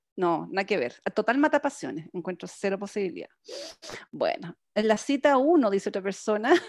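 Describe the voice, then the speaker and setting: A woman with vocal fry speaks at a moderate pace and a fairly high pitch with very wide pitch swings, the sound dry and close with no echo in a very clean recording over a silent background. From Chile. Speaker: podcast co-host. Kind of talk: casual chat.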